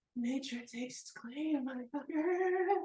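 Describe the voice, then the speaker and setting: This is a put-on character voice pitched high. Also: moderate pace. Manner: aggressive, taunting.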